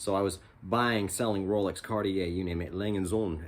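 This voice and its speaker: A man speaks with a very deep, low pitch and fairly even intonation. Audible echo fills the room. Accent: American. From California. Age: 50s. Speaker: watch reviewer, former watchmaker and musician. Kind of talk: casual vlog talk. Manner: hesitant, many fillers.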